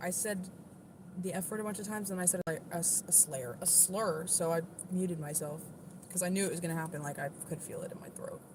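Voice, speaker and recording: Speaking very fast, a woman with an American accent keeps a fairly low pitch and fairly even intonation. Noticeable background noise and audible room echo surround her voice. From US East Coast. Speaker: livestreamer with Tourette's, singer-songwriter. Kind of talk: casual livestream chat. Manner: occasional involuntary vocal tics.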